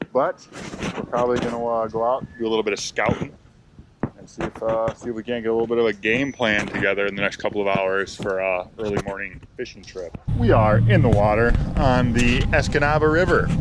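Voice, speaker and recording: Noticeable background noise behind a man speaking fairly quickly at a medium pitch, with ordinary pitch variation. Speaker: fishing vlogger. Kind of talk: casual vlog narration. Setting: outdoors, on a boat.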